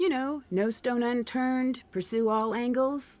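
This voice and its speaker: A woman puts on a character voice, pitched high and delivered at a moderate pace. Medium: video game. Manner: polite, inquisitive.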